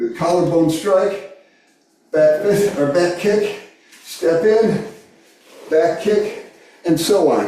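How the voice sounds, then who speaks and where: A man speaks very slowly in a high voice, leaving long, frequent pauses, with fairly even intonation and very even loudness. Room echo is audible. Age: 60s. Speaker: karate instructor. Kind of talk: class instruction.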